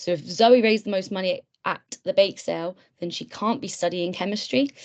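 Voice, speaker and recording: A woman is speaking in a British accent. Her pace is moderate. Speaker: webinar tutor, medical student mentor. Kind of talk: online tutorial webinar. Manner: hesitant, many fillers.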